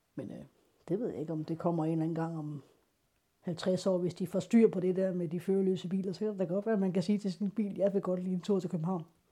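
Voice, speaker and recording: A woman with a dark, mellow tone talks at a very fast pace with fairly even intonation, in a very clean recording with a silent background. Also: medium pitch for a woman. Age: 40s. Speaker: blind piano tuner. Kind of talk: personal testimony. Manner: halting.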